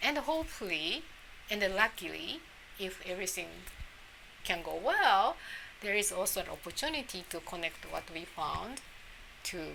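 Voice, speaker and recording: Speaking in a Japanese accent at a moderate pace, the voice makes very wide pitch swings and long, frequent pauses. There is noticeable background noise. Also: woman, medium pitch for a woman. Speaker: immunology professor. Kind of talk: interview. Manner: halting.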